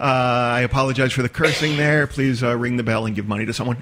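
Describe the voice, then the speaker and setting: This man's mid-range voice comes through with clear noise in the background. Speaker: storyteller. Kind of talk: podcast interview answer.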